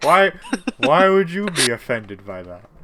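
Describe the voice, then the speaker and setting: A man does a put-on character voice, rumbling and fairly high-pitched. His pitch swings very widely at a moderate pace. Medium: actual play. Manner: slow, stumbling over words.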